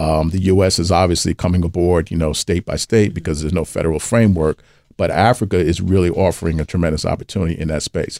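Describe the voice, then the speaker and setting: On a very clean recording with a silent background and a dry, close sound with no echo, a man with a New York accent speaks at a very fast pace with hardly any pauses, his very deep, low voice dark and mellow in tone. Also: fairly even intonation. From US, New York (Brooklyn). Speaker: venture capital investor. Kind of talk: interview.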